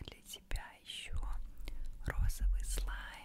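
A woman is whispering. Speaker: ASMR content creator. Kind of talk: ASMR relaxation video, close whisper. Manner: whispered, soft. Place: home room. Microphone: studio mic.

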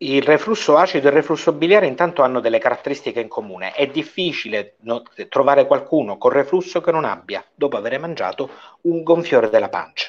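With lively intonation and a fairly high pitch, a man talks at a very fast pace. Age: 40s. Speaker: doctor; guest. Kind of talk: informal medical Q&A. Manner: animated. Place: home room. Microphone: earbuds.

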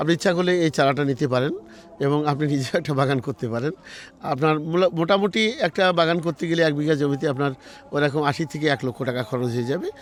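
This man has an unremarkable speaking voice, fairly high in pitch, with ordinary pitch variation. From Bangladesh, Jessore district. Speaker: orchard owner. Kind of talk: interview.

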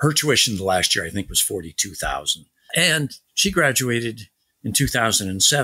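Vocal fry runs through a bright, sharp tone. The pace is fairly slow and the pitch swings very widely. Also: man, medium pitch for a man. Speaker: war veteran and author. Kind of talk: interview. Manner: halting.

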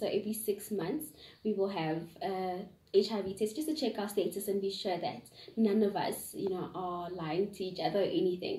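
A woman with a somewhat breathy, medium-pitched voice talks at a moderate pace with ordinary pitch variation, and room echo is audible. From South Africa, Gauteng. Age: 20s. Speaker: young interviewee. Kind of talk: interview answers. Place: home room. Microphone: camera far.

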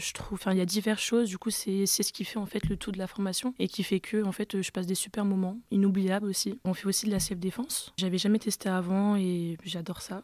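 A woman's medium-pitched voice, fairly quick in pace, with monotone, flat intonation. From France (arrived from French Guiana at age 5). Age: 20s. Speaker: security trainee. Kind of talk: testimony. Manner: casual.

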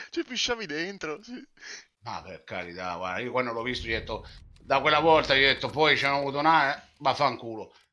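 On a very clean recording with a silent background, a man talks at a fairly quick pace in a bright, sharp, animated tone, with very wide pitch swings and big swings in loudness. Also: fairly high pitch for a man. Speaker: gaming youtuber telling a story. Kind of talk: angry rant, story time with swearing and mocking impressions. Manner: animated, loud, exasperated, fast, laughing at himself; swearing and insulting, indignant.

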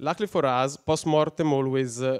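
With an Italian accent, a man speaks at a moderate pace and a medium pitch. His pitch variation is ordinary, and the background is quiet. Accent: non-native English, Italian. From Italy. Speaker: software engineer, conference speaker; conference speaker. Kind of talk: conference talk; technical conference talk. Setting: stage with audience. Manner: halting, many fillers. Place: hall. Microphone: headset.

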